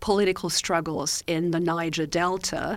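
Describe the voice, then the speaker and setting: This woman has a North American accent. Her voice is fairly low. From Austria. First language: German. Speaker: professor. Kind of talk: casual chat. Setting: studio.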